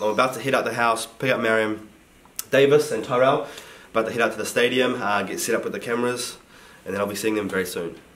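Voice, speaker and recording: Over noticeable background noise and audible room echo, a man speaks at a very fast pace in a medium pitch with ordinary variation. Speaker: fitness vlogger. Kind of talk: vlog narration.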